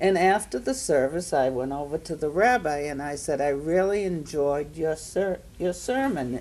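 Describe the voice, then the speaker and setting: A woman with a Maine accent speaks at a fairly slow pace in a dark, mellow tone with lively intonation. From Maine, Portland. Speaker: panelist. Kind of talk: storytelling at panel discussion.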